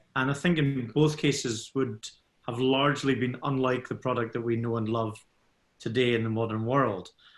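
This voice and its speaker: A man with a Scottish accent, at a medium pitch and a moderate pace. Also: fairly even intonation. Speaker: scotch whisky ambassador. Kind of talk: expert Q&A in webinar.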